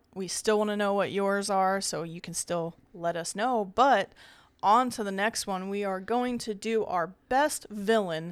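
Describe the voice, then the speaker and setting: A normal speaking voice from a woman at medium pitch and a fairly slow pace, on a very clean recording with a silent background. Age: 30s. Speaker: horror podcast co-host. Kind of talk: casual chat.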